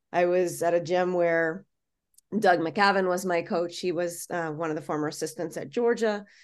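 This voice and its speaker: This woman has an ordinary speaking voice with an American accent, a fairly low pitch and fairly even intonation. The background is quiet. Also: moderate pace. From Florida. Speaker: college gymnastics head coach. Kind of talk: casual interview.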